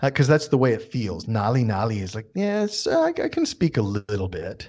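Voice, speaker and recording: A man uses a normal speaking voice with an American accent, at medium pitch. He talks at a moderate pace against a quiet background. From United States. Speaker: guest expat and travel tips giver. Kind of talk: casual chat. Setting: studio.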